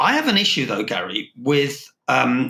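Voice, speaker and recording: With a fairly high pitch, a man's bright, sharp voice shows vocal fry. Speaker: logistics consultant, podcast host. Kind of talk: business podcast discussion.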